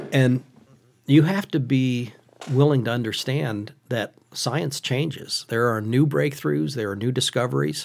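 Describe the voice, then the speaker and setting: With a central Pennsylvania accent, a man speaks at a fairly slow pace in a medium pitch with lively intonation. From Pennsylvania, Western Schuylkill County. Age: 50s. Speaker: hunting advocate. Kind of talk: podcast interview.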